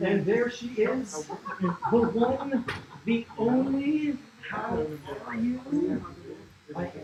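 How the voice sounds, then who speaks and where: A man speaks over noticeable background noise. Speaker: content creator live streaming. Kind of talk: casual livestream chat. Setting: tattoo shop.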